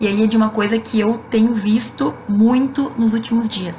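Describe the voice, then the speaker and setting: In a southern Brazilian accent, a woman talks fairly slowly with a fairly high pitch. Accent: gaúcho Brazilian Portuguese. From Rio Grande do Sul, southern Brazil. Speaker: law professor. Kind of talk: live Q&A stream. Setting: Instagram live. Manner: casual, conversational.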